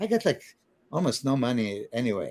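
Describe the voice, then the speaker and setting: The speaker is a man with a dark, mellow tone. His pace is moderate. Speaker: bodybuilder and trainer. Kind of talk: casual podcast interview, storytelling. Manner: animated, hesitant with fillers.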